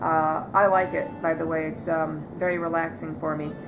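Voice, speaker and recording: A woman speaks with an American accent at a fairly slow pace, her pitch varying in an ordinary way. Noticeable background noise and audible room echo come through. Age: 40s. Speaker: vlogger. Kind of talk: personal testimony. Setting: living room loveseat. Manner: hesitant, many fillers.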